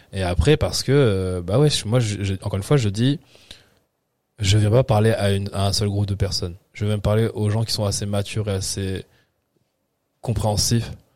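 With long, frequent pauses, a man speaks at a moderate pace in a fairly low voice with ordinary pitch variation. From France (Picardy, then Nice). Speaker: actor. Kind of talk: casual interview conversation. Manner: animated.

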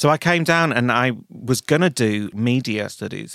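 A man with a Manchester accent at medium pitch and ordinary pitch variation, on a very clean recording with a silent background and a dry, close sound with no echo. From Manchester, northern England. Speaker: fashion stylist and creative director. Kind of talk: casual interview chat.

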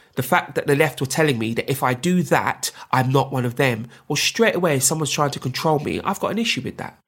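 Speaking with a London accent, a man with a somewhat breathy voice at medium pitch talks at a fairly quick pace with ordinary pitch variation. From London, North Kensington. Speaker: politician. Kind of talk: interview. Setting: at home, remote interview.

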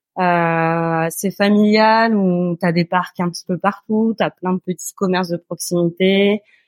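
At a very slow pace, a woman with a medium pitch speaks in a monotone, flat intonation with hardly any pauses. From Normandy, France (near Évreux). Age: 30s. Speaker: podcast guest, food photographer and blogger. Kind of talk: casual interview. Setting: remote call from Montreal. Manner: halting, many repetitions and fillers.

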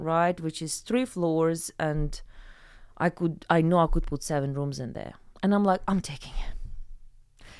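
A woman with a Ukrainian accent, fairly low in pitch, with ordinary pitch variation and a fairly slow pace. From Ukraine. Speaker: salon founder and massage therapist. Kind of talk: casual interview chat.

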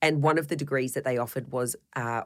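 With an Australian accent, a woman speaks at a very deep, low pitch and with fairly even intonation, in a very clean recording with a silent background. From Australia, Melbourne. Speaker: baker, former racing engineer. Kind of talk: interview.

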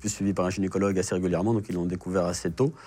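The man's pitch is very deep and low. His tone is dark and mellow. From Paris, 19th arrondissement. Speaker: reality TV contestant and driver. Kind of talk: casual interview.

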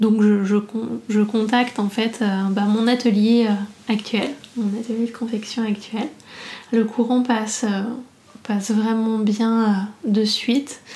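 Amid noticeable background noise, a woman with a fairly high pitch speaks at a very slow pace in a monotone, flat intonation with long, frequent pauses. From northeastern France, near Reims. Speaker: business founder. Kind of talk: interview. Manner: halting, many hesitations.

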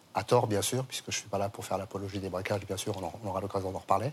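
A man's very fast, somewhat breathy delivery. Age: 60s. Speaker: former bank robber. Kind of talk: interview.

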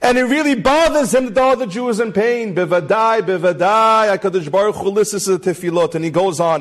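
Fairly quick and lively in intonation, a man talks in a high pitch. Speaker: rabbi. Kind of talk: sermon teaching Torah commentary, fervent exhortation to pray. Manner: earnest, emphatic, impassioned, repeating for emphasis; switches between English and Hebrew phrases.

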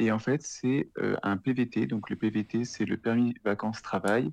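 Dry and close with no echo, a man's medium-pitched voice moves at a fairly slow pace with ordinary pitch variation. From France, Lyon region. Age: 30s. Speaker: freelance content writer living abroad. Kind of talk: interview conversation. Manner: hesitant, many fillers.

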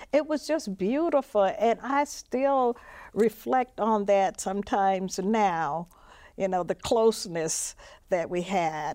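Very slow and fairly high-pitched, a woman with a Mississippi accent swings her pitch very widely in a very clean recording with a silent background. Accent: Southern US, Mississippi. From Mississippi (Macomb). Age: 70s. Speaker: civil rights activist and author. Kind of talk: interview testimony.

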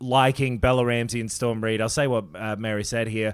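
With an Australian accent, a man speaks at a medium pitch in a very clean recording with a silent background. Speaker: podcast co-host. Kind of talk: casual chat.

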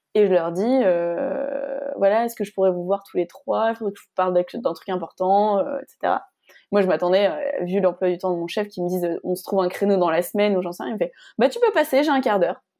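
A plain, everyday voice moves at a fairly quick pace with ordinary pitch variation. Its loudness swings widely. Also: woman, medium pitch for a woman. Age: 30s. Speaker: former journalist turned fitness coach. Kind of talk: testimony interview.

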